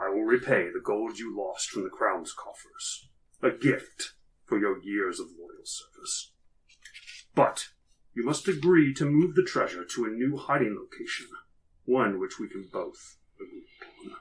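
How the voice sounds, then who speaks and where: A man puts on a character voice and delivers it at a moderate pace. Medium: actual play. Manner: commanding, deliberate.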